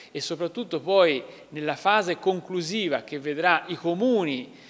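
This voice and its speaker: A high-pitched man's voice with ordinary pitch variation at a fairly slow pace. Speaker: regional councillor. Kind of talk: interview answer. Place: hall.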